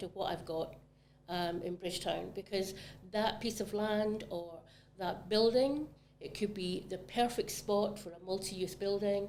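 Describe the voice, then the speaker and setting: A woman's medium-pitched, dark, mellow voice at a fairly slow pace with ordinary pitch variation. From Scotland, Glasgow area. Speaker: real estate agent. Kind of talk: casual chat.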